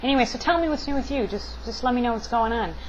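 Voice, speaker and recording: Audible room echo surrounds a woman as she talks. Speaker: video blogger. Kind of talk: casual vlog monologue. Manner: halting.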